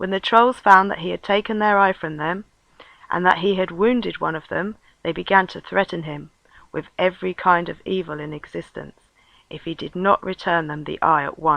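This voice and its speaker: Soft-spoken, a woman talks at a moderate pace and a medium pitch, with ordinary pitch variation and big swings in loudness. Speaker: storyteller. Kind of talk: reading aloud.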